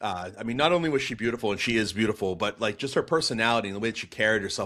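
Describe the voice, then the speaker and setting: Speaking at a very fast pace with an animated tone, a man with an American accent comes through on a very clean recording with a silent background. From Boston, US. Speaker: pastor and apologetics speaker. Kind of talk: podcast interview, telling his testimony. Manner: animated storytelling with many fillers.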